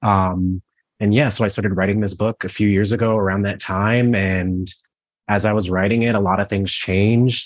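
Against a quiet background, a man with an American accent speaks at a fairly quick pace in an unremarkable speaking voice, his pitch fairly low and his intonation fairly even. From Cleveland, Ohio. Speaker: author. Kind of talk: interview Q&A.

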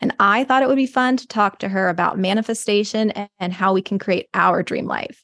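This woman has an ordinary speaking voice, speaking at a medium pitch and a fairly quick pace, with a dry, close sound and no echo. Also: ordinary pitch variation. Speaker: massage therapist and podcast host. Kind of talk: casual interview chat.

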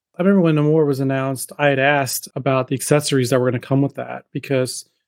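A man with an American accent speaks at a fairly high pitch and a very fast pace, his intonation monotone and flat. The recording is very clean with a silent background and a dry, close sound with no echo. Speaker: podcast host. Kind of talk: casual interview. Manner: fast talker, trips over words.

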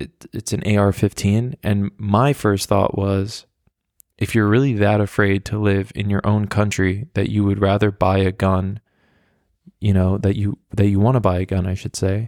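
At a moderate pace, a man speaks in a flat monotone at a fairly low pitch. The sound is dry and close with no echo. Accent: New York. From US, New York. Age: 20s. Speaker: podcast host. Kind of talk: casual solo monologue. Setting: home recording, walking around flat. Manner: casual, filler-heavy with restarts.

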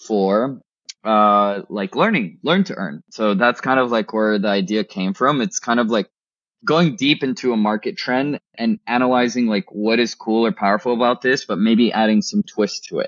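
The speaker is a man with a medium pitch. He talks at a moderate pace with lively intonation. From Texas (McAllen, Rio Grande Valley), born in Colombia. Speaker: startup founder. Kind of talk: interview. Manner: animated.

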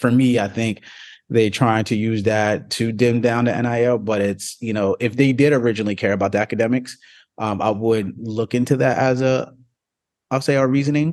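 An unremarkable speaking voice from a man with an American accent, medium pitch, fairly even intonation and a moderate pace, over a quiet background. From New Jersey. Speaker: sports agent and athlete mentor. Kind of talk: casual interview.

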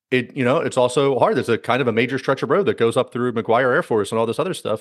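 Over a quiet background, an unremarkable speaking voice moves at a fairly quick pace. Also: man. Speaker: podcast host. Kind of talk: casual interview.

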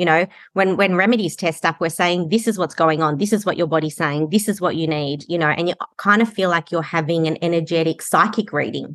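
With an Australian accent, a woman speaks at a fairly quick pace in a fairly low voice, her pitch varying normally against a quiet background. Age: 40s. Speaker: kinesiologist and healing practitioner. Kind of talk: podcast interview.

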